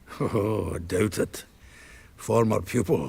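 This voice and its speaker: A man in a put-on character voice, raspy and fairly low-pitched, at a fairly slow pace. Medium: video game. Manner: jovial, chuckling, earthy.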